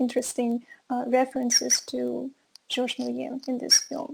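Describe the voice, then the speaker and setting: A woman's high-pitched voice with a Russian accent, fairly even intonation and a moderate pace. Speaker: film course teacher. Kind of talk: online lecture. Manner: hesitant, many fillers.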